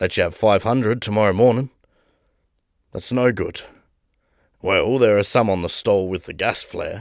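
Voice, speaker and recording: Using a raspy, put-on character voice, a man speaks at medium pitch and a moderate pace. He takes long, frequent pauses on a very clean recording with a silent background. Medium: read story. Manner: curt, combative.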